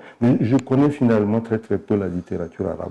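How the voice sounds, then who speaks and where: This man's voice is dark and mellow, fairly low in pitch, with ordinary variation in its pitch. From Chad. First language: Sara Ngambay (speaking French). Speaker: novelist. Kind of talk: interview. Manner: halting, many repetitions.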